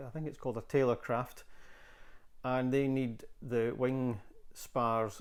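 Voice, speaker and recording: A man's medium-pitched, fairly even voice, a plain, everyday voice. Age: 60s. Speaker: woodworking hobbyist video maker. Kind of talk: workshop tutorial. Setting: home workshop. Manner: casual, conversational with fillers.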